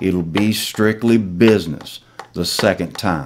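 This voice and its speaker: Over noticeable background noise, a man with fairly low pitch speaks at a very slow pace with lively intonation. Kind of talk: poetry reading, patriotic slam poem.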